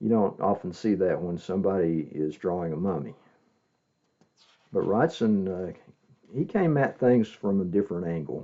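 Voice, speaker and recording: Soft-spoken, a man with a very deep, low pitch talks at a moderate pace, leaving long, frequent pauses. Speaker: comic collector. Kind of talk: casual show-and-tell video. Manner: hesitant, many fillers.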